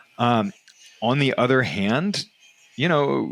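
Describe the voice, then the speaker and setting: Medium-pitched male voice with vocal fry and an American accent. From United States. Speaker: real estate investing podcast host. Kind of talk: casual podcast discussion; podcast outro with promotion. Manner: hesitant, many fillers.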